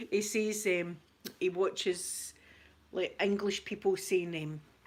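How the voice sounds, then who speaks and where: With a strong Scottish accent, a woman speaks at a medium pitch with lively intonation. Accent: thick Scottish. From Scotland. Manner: chatty, responds to viewer comments.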